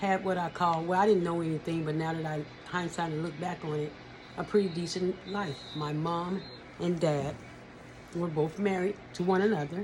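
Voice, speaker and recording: Someone with an American accent speaks at a moderate pace against noticeable background noise. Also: woman, fairly low pitch for a woman. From California. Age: 60s. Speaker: abuse survivor sharing her story. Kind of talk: personal testimony. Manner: halting, self-correcting.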